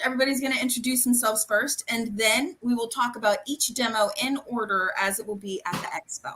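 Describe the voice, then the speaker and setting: Raising and projecting her voice, a woman speaks at a fairly quick pace and a high pitch in an animated tone with ordinary pitch variation. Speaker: live stream host, event organizer. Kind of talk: casual live video call. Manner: fast.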